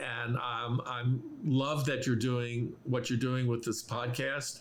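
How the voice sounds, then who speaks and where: Fairly slow speech from a man, an echo from the room audible around it. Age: 70s. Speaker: medical musician, guitarist. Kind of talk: podcast interview. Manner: halting, many fillers.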